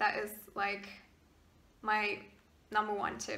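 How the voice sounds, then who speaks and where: A woman with a German accent and a fairly high pitch, amid audible room echo and noticeable background noise. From Germany, partly raised in Maryland, US. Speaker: YouTuber. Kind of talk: casual Q&A vlog. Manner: hesitant, many fillers.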